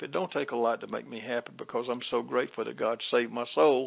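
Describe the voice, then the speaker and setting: Speaking very fast with a Southern US accent, a man keeps a medium pitch and fairly even intonation. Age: 70s. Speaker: gospel singer and minister. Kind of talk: interview.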